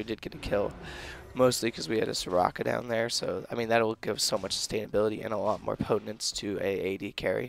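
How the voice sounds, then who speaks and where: Raspy and very fast, a man puts on a character voice. His pitch sits at a medium level. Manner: casual, explaining gameplay.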